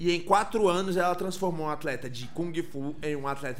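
Amid noticeable background noise, a man talks in an animated tone at high pitch and a moderate pace. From Brasília, Brazil. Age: 20s. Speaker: architect and tattoo artist. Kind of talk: casual chat.

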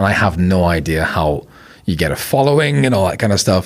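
A man with a Belfast accent speaks at a fairly quick pace in a very deep, low voice. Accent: Belfast accent, milder than staunch Belfast. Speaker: filmmaker. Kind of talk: casual chat.

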